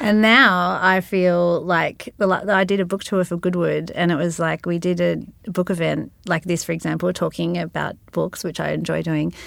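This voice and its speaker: On a very clean recording with a silent background, a woman with an Australian accent talks with hardly any pauses. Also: moderate pace. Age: 30s. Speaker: singer-songwriter and novelist. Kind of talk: interview.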